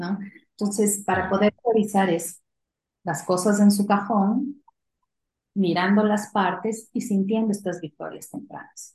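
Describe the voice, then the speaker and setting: At a fairly slow pace, a woman speaks with medium pitch, fairly even intonation and a somewhat breathy quality. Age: 40s. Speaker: company CEO. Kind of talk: interview.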